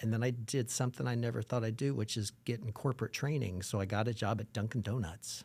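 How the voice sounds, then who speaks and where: Speaking very fast at a medium pitch, a man keeps his intonation fairly even in a very clean recording with a silent background. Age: 60s. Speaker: performer and educator. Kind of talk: casual interview.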